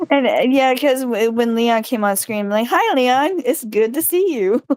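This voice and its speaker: Amid noticeable background noise, a woman with a Southern US accent speaks at a moderate pace in a high pitch, with lively intonation and very even loudness. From US South. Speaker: gaming streamer. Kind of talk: casual chat. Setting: livestream.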